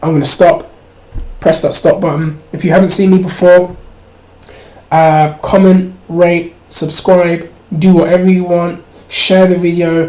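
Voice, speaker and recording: Long, frequent pauses break up the fairly slow speech, and noticeable background noise is present. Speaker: MMA and wrestling video commentator. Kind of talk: vlog commentary.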